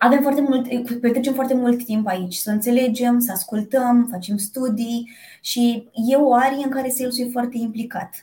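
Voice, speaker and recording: A woman's high voice moves at a moderate speed, its intonation fairly even. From Romania, Piatra Neamț (Moldavia region). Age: 30s. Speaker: corporate sales director. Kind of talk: interview. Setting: video call.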